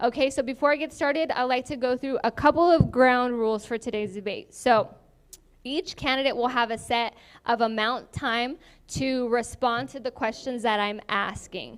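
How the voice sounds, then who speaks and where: A woman speaks with a high pitch. Her pitch variation is ordinary. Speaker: forum moderator. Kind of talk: moderating a candidate forum. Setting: event hall with live audience, shared mics. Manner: fast.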